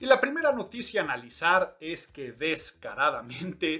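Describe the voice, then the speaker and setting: With a bright, sharp tone, a man speaks at a high pitch in an animated way, his pitch swinging very widely. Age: middle-aged. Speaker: podcast host and image consultancy school rector. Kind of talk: solo podcast commentary.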